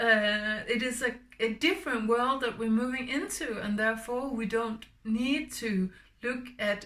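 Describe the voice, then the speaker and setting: Speaking at a fairly slow pace, a woman with a Danish accent has a bright, sharp tone. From Denmark. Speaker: spiritual healer. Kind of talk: spiritual talk. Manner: halting.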